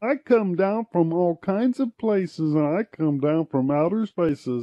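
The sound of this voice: A man speaks at a moderate pace in a high-pitched, put-on character voice.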